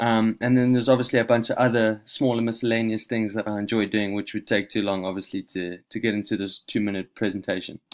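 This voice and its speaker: There is a slight South African accent in this man's medium-pitched voice, captured on a very clean recording with a silent background. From South Africa, Johannesburg. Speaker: university student. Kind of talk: self-introduction presentation. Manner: casual, with fillers.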